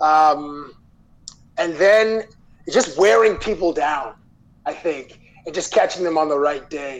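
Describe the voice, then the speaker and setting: Speaking very slowly with long, frequent pauses, a man uses a fairly high pitch and ordinary pitch variation. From Toronto, Canada. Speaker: sports TV interviewer. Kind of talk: casual interview chat.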